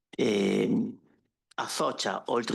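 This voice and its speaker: A man talks at moderate speed, the background around him quiet. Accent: Italian. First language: Italian. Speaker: consumer cooperative representative. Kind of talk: panel presentation. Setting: conference workshop with audience.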